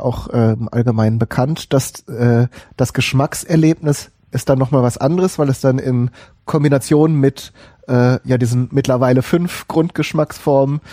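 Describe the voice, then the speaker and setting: A man's medium-pitched voice, dark and mellow in tone, at a fairly slow pace with very even loudness, ordinary pitch variation and a dry, close sound with no echo. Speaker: podcast host. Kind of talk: casual chat. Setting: live stream with chat.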